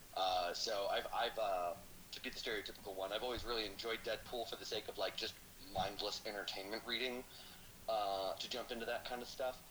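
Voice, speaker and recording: Talking at a fairly quick pace, a man with an unremarkable speaking voice keeps a medium pitch and fairly even intonation. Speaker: guest, former co-host and comic fan. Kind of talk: casual banter.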